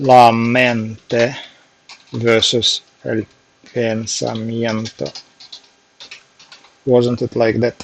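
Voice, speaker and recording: Speaking at a very slow pace with long, frequent pauses, a man with a strong Russian accent keeps a fairly even intonation. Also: medium pitch for a man. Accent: heavy Russian. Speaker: software developer, language learner streamer. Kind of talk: casual live stream study session. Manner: halting.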